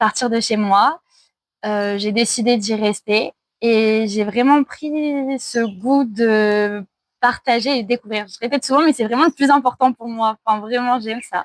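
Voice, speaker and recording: A woman with a plain, everyday voice and a fairly high pitch speaks at a fairly slow pace with fairly even intonation, in a dry, close sound with no echo. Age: 20s. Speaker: traveller and online French teacher. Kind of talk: casual interview.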